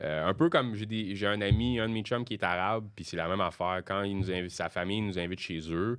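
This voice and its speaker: A man with a Quebec accent talks at a fairly low pitch with ordinary pitch variation and hardly any pauses. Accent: Québécois French. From Quebec, Sorel. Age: 30s. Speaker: comedian. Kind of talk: casual chat. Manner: halting.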